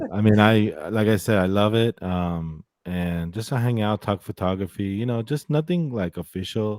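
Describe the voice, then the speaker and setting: A plain, everyday voice with an American accent moves at a moderate pace, with ordinary pitch variation and hardly any pauses. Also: man, fairly low pitch for a man. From United States. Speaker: podcast host. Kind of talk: casual chat. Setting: live stream.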